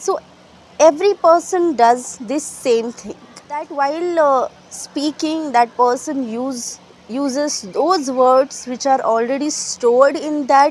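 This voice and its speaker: A woman speaks very slowly in a Marathi Indian accent. Her pitch sits high. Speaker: English teacher. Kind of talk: tutorial. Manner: halting, with fillers.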